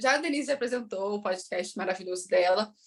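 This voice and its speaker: A woman talks at a fairly quick pace. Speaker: bilingualism educator. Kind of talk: interview.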